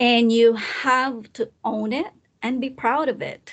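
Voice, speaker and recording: A woman speaks with a non-native accent. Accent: noticeable non-native English. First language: not English. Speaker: presentation skills coach. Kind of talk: live online talk. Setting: recorded live session. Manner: hesitant, with fillers and restarts.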